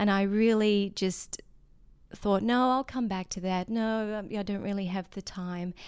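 Recorded very cleanly against a silent background, a woman with an Australian accent talks at a moderate pace and medium pitch with fairly even intonation. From Australia, remote desert mining town. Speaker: yoga teacher. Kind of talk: casual interview conversation. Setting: in person, Maui.

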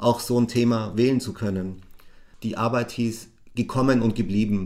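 This man has a medium pitch and an unremarkable speaking voice. His intonation stays fairly even. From Bavaria, Augsburg. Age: 50s. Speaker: social care worker. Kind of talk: interview testimony.

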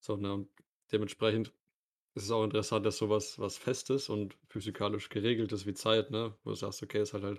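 Fairly low in pitch, a man talks at a fairly quick pace in a monotone, flat delivery. The recording is very clean, with a silent background. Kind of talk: casual chat.

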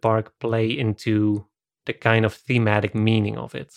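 Someone with a Dutch accent is heard in a dry, close sound with no echo, on a very clean recording with a silent background. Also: man. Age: 30s. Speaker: video essayist, podcast host. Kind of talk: casual film discussion.

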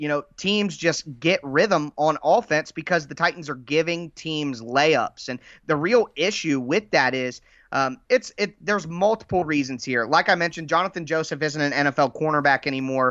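A man with an American accent speaks at a moderate pace in an unremarkable speaking voice. His pitch is fairly high, with ordinary pitch variation. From Ohio, US Midwest. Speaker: football podcaster. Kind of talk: casual chat.

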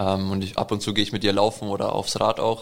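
In a fairly low pitch, a man talks with monotone, flat intonation. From Allgäu, Bavaria, Germany. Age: 20s. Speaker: triathlete. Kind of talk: interview.

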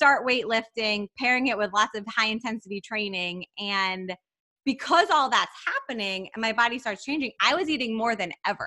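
Dry and close with no echo, a woman's fairly high, bright, sharp voice moves at a moderate pace with ordinary pitch variation. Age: 30s. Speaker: dietitian and podcast co-host. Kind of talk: casual chat.

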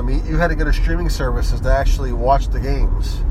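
A man talks at a very fast pace. Audible room echo and noticeable background noise surround his voice. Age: 30s. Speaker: sports podcast host. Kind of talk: casual solo sports commentary. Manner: hesitant, many fillers.

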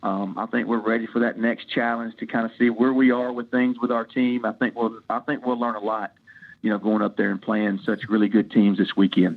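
Speaking with a Tennessee accent, a man uses fairly even intonation at medium pitch and a fairly quick pace. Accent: Southern US (Tennessee). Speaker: college baseball head coach. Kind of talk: interview. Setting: podcast interview.

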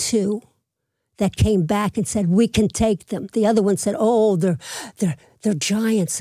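The voice has a dark, mellow tone and ordinary pitch variation. The recording is very clean with a silent background, giving a dry, close sound with no echo. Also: woman. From Philadelphia (Manayunk), Pennsylvania. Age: 80s+. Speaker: retired babysitter and mother. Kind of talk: casual interview. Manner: energetic.

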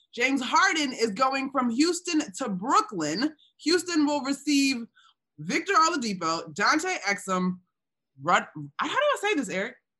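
A woman's high voice is raised and projected, with a bright, sharp tone. She speaks at a fairly slow pace while her pitch swings very widely. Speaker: basketball podcast host. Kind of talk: casual sports talk show.

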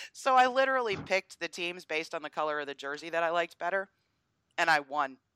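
Speaking very fast with an American accent, a woman uses lively intonation and a bright, sharp tone at a fairly low pitch, in a very clean recording with a silent background and a dry, close sound with no echo. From US Northeast. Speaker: political commentator. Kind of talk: casual chat.

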